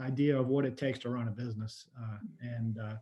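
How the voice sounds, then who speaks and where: A man speaks at a medium pitch in a somewhat breathy voice. His intonation is monotone and flat. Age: 60s. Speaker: tourism marketing executive. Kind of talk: webinar panel discussion. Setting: video call.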